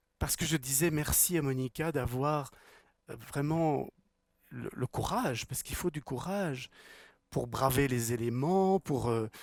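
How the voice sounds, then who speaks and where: A man's fairly high voice at a fairly slow pace, with ordinary pitch variation, long, frequent pauses, and a dry, close sound with no echo. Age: 60s. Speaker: spiritual teacher and speaker. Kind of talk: talk to a live audience. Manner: repeats words, halting at times.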